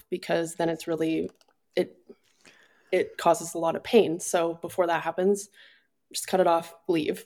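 This woman speaks at a fairly low pitch. Her intonation is monotone and flat. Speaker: speaker on personal growth and addiction recovery. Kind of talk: casual personal conversation.

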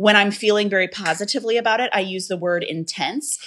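A plain, everyday voice from a woman at medium pitch, fairly quick pace and ordinary pitch variation. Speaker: author. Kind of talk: casual interview chat. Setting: video call.

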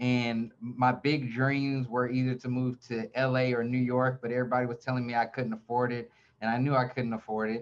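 A man with an American accent speaks at a medium pitch and moderate pace. His intonation is monotone and flat, with hardly any pauses. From US South, Atlanta, Georgia. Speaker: real estate team leader and YouTuber. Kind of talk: interview, casual chat.

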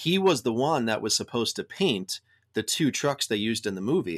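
This man has an unremarkable speaking voice at a medium pitch, talking at a fairly quick pace in a dry, close sound with no echo on a very clean recording with a silent background. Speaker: truck owner and anti-bullying advocate. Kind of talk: casual interview.

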